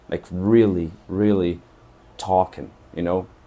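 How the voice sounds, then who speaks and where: In a Portuguese accent, a man speaks at a fairly slow pace with a dark, mellow tone. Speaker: travel vlogger. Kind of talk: casual monologue to camera.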